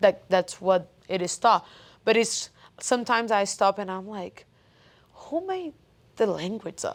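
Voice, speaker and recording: Someone with a Portuguese accent speaks at a fairly slow pace with long, frequent pauses, ordinary pitch variation and big swings in loudness. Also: woman, medium pitch for a woman. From Brazil. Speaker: coach. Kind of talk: casual chat.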